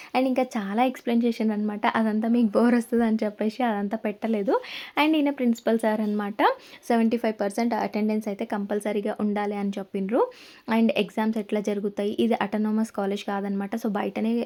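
A woman speaks with a fairly high pitch and a dark, mellow tone. Her intonation stays fairly even. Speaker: family vlogger. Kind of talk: casual vlog narration.

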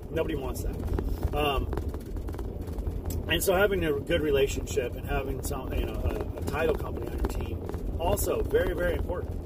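A man at a fairly quick pace, dry sound with no echo, loud background noise. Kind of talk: casual vlog chat. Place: car. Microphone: phone near.

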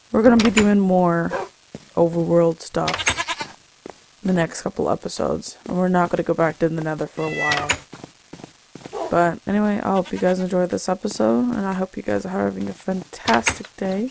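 With lively intonation, a woman speaks in a fairly low pitch at a moderate pace. She leaves long, frequent pauses, and there is noticeable background noise. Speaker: gaming video creator. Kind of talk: gameplay commentary.

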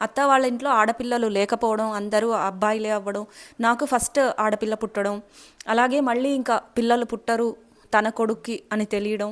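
The woman's fairly high voice stays monotone, with flat intonation throughout. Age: 20s. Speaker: YouTuber sharing health and beauty tips. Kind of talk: casual vlog monologue.

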